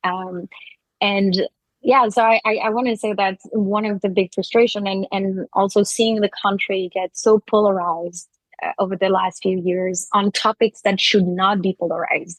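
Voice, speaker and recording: With a French accent, a woman talks at a medium pitch and moderate pace in monotone, flat intonation, the sound dry and close with no echo. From France. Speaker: advertising agency co-founder. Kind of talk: interview conversation.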